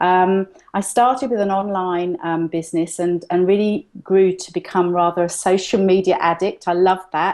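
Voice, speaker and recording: Speaking at a moderate pace with a London accent, a woman keeps her intonation fairly even. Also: medium pitch for a woman, hardly any pauses. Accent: London British. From London, England. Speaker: entrepreneur, digital magazine publisher. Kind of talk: interview. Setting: video call. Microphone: delayed, freezing connection.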